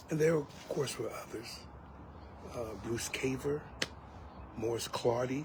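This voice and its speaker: Speaking very slowly with long, frequent pauses, a man with an American accent keeps fairly even intonation, with audible room echo and noticeable background noise. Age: old. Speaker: elder, preacher. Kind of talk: personal reminiscence monologue. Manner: halting, many fillers.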